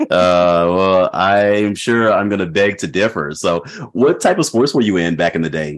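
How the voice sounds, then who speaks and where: A man's ordinary speaking voice, fairly low in pitch, at a fairly slow pace with ordinary pitch variation. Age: 40s. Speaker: podcast host. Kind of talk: casual chat.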